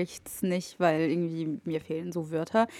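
A woman speaks in a dark, mellow tone. Her intonation is flat and monotone. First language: Arabic (speaking German). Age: 20s. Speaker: media studies student. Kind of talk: casual chat.

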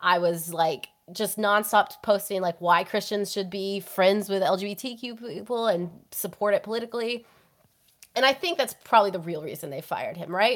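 In a very clean recording with a silent background, a woman uses a normal speaking voice at a medium pitch, with ordinary pitch variation, a moderate pace and big swings in loudness. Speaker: guest, writer. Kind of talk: casual chat.

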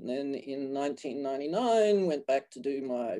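A man with an Australian accent speaks at a very slow pace in a medium-pitched, dark, mellow voice. The recording is very clean, with a silent background. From Australia (Queensland). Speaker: physical therapy program director. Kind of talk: interview.

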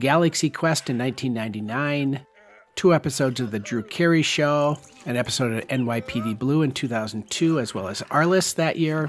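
Music plays in the background as a man speaks at a moderate pace. His pitch is medium and varies in an ordinary way. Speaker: film podcast host. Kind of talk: scripted narration of film history, read out like a review essay.

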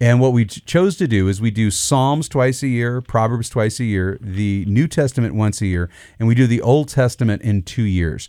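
A dark, mellow tone with hardly any pauses, on a very clean recording with a silent background. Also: man, medium pitch for a man, ordinary pitch variation, moderate pace. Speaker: pastor. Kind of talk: casual chat. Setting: studio. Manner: animated.

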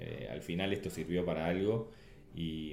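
A very deep, low male voice, dark and mellow, at a moderate pace with audible room echo. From Uruguay. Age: 50s. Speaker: Olympic sailor. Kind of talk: interview. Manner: halting, repeats words.

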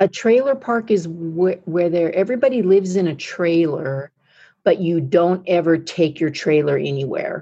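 With an American accent, a woman of fairly low pitch speaks at a moderate pace, her tone dark and mellow and her intonation lively. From United States. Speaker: speaker, author and coach. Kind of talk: guided meditation; interview. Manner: animated.

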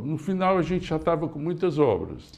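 A man talks in a high pitch, his pitch varying in an ordinary way. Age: 60s. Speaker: engineering company founder. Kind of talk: interview.

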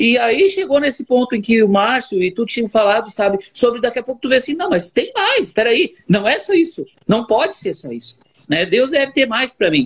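A man talks at a moderate pace with an extremely high pitch and very wide pitch swings. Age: 40s. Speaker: barber and church member. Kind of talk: religious chat. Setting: online live stream.

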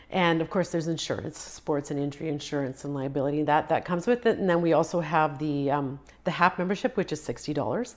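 A woman's very deep, low voice at a very fast pace with hardly any pauses and ordinary pitch variation, on a very clean recording with a silent background. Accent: Canadian. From western Canada. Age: 50s. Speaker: amateur marathon runner. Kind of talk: casual interview.

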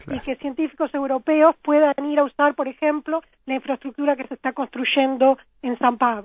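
A woman talks at a fairly quick pace with a high pitch. Her intonation stays monotone and flat. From Uruguay (Florida, then Montevideo). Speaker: scientist, research project manager. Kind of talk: interview.

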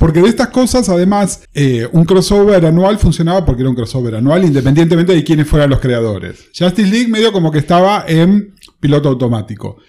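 This man talks at a very fast pace with hardly any pauses, his pitch high for a man and swinging very widely. His tone is dark and mellow. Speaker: comics youtuber. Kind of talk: casual chat.

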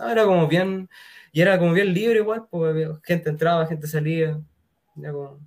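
This man has a Chilean accent and a high pitch. He talks at a moderate pace. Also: ordinary pitch variation. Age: 20s. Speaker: musician. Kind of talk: casual chat.

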